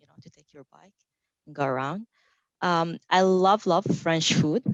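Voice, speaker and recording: In a Saudi accent, a woman speaks at a fairly low pitch with ordinary pitch variation. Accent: Saudi Arabian. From Saudi Arabia. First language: Arabic. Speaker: technical marketing engineer. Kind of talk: panel self-introduction.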